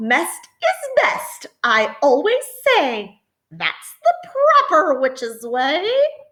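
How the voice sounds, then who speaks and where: A woman puts on a character voice, speaking very slowly at a high pitch. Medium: read story.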